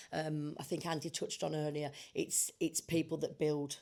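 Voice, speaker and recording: In a British accent, a woman with a very deep, low voice speaks at a moderate pace in a flat monotone. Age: 60s. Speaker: construction industry panelist. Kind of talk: panel discussion.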